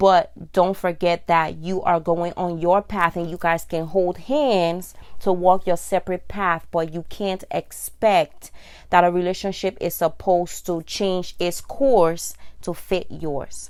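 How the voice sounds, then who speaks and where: In a very clean recording with a silent background, a woman with an unremarkable speaking voice talks fairly slowly at a fairly low pitch. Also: fairly even intonation. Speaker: vlogger. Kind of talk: casual monologue.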